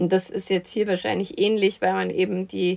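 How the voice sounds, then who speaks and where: This is a woman speaking at a medium pitch. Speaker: film podcast host. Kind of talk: casual chat.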